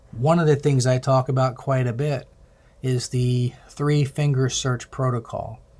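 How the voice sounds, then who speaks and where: Flat, monotone delivery from a man at medium pitch, somewhat breathy and fairly slow, on a very clean recording with a silent background. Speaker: healthcare IT presenter. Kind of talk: recorded presentation. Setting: self-recorded video.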